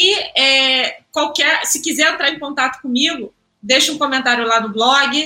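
Speaking at a fairly slow pace with a Rio de Janeiro accent, a woman uses a raised, projected voice that is high in pitch, with ordinary pitch variation. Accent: Carioca Brazilian Portuguese. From Rio de Janeiro suburbs, Brazil. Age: 30s. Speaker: journalist and press officer. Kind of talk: casual interview.

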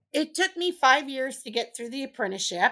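A bright, sharp voice with a Californian accent, on a very clean recording with a silent background. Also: woman. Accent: Californian American English. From Southern California. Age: 50s. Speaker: construction inspector. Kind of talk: interview. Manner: animated.

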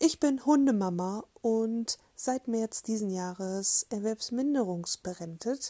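Speaking very slowly with hardly any pauses, a woman has a dark, mellow tone on a very clean recording with a silent background and a dry, close sound with no echo. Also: fairly high pitch for a woman, ordinary pitch variation. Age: 30s. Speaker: podcaster, self-love activist. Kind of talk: casual monologue introduction.

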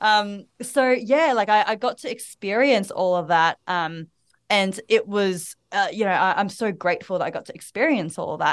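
A woman's lively intonation in an Australian accent, over a quiet background. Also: medium pitch for a woman, moderate pace. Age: 20s. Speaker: women's empowerment mentor and speaker. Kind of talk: podcast interview. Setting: video call.

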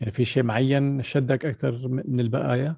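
A man with a Levantine accent speaks at medium pitch and a moderate pace, his voice somewhat breathy with a dark, mellow tone. His intonation is monotone and flat, and the sound is dry and close with no echo. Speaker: podcast host. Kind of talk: casual interview. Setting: video call.

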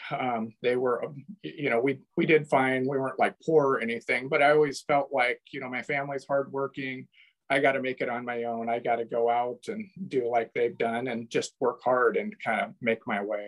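Someone with an American accent talks at a moderate pace with ordinary pitch variation, in a dry, close sound with no echo. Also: man, medium pitch for a man. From US Pacific Northwest (Oregon coast). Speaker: church member, former missionary. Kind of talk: interview, personal testimony. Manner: halting, with repeated words.

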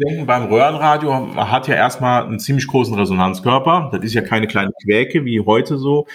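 Noticeable background noise sits behind a man speaking at a medium pitch. He talks at a fairly quick pace with ordinary pitch variation. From Rhineland-Palatinate, Westerwald (Montabaur). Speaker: radio and hi-fi repair technician, shop owner. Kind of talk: casual chat.

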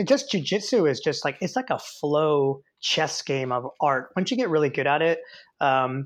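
At a moderate pace and a fairly high pitch, a man speaks in an unremarkable speaking voice against a quiet background. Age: 50s. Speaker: athletic trainer and educator. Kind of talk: interview.

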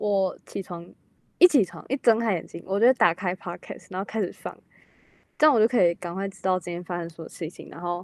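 A woman talks in an ordinary speaking voice at a moderate pace. The recording is very clean and dry, close with no echo and a silent background. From Taiwan. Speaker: exchange student, drama major. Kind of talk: casual chat.

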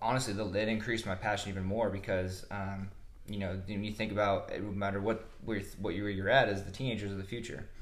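A somewhat breathy man's voice, fairly low in pitch, with a US Midwestern accent and audible room echo. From Nebraska (Omaha area). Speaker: strength coach. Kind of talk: interview.

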